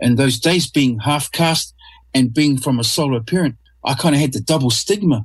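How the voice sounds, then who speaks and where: At a moderate pace, a man with a somewhat breathy, medium-pitched voice speaks with ordinary pitch variation, on a very clean recording with a silent background. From New Zealand, North Island. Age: 50s. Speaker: artist. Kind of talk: interview. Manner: halting, repeats words.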